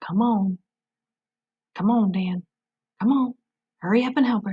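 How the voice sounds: A put-on character voice, female-sounding, at medium pitch for a woman. The pace is moderate.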